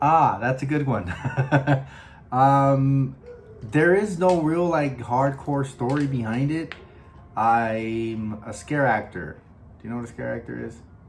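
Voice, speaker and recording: A man with an American accent speaks at a fairly slow pace, leaving long, frequent pauses. His loudness swings widely, and room echo is audible. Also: medium pitch for a man, ordinary pitch variation. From Los Angeles, US West Coast. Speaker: podcast host and scare actor. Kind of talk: casual chat. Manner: halting, many fillers.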